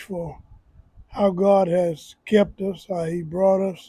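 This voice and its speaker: A man's high-pitched, dark, mellow voice in a Southern US accent, very slow and with monotone, flat intonation. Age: 80s+. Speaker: community elder. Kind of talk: casual interview.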